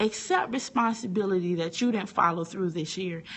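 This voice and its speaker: The voice sounds animated and somewhat breathy. Its intonation is lively. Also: woman. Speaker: teacher and online inspirational speaker. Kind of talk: motivational talk on a live stream. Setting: live video broadcast from a phone. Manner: animated, preachy.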